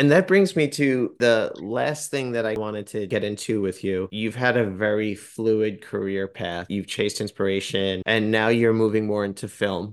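A man with an ordinary speaking voice talks at a fairly low pitch and a moderate pace, with ordinary pitch variation and hardly any pauses. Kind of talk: interview.

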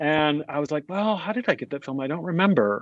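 A man with a General American accent, fairly quick in pace and lively in intonation, in a dry, close sound with no echo. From US (raised in Dubai). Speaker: music composer.

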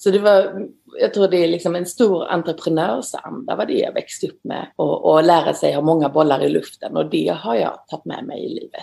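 A woman talks at a moderate pace with hardly any pauses. Her loudness swings a lot. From Sweden, northeastern Skåne. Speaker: glove designer. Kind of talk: interview.

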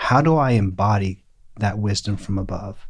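A man speaks with a quiet background. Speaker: pastor and theologian. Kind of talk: casual chat. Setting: studio.

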